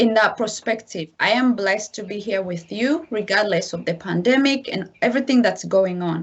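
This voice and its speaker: A woman's medium-pitched voice with an African accent, moderate pace, hardly any pauses and ordinary pitch variation. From DR Congo. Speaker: massacre survivor, guest speaker. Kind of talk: testimony.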